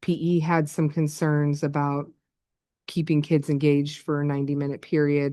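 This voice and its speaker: At a moderate pace, a woman speaks with a very deep, low pitch, a dark, mellow tone, very even loudness and monotone, flat intonation. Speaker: school administrator presenting to board. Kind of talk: presentation at board work session.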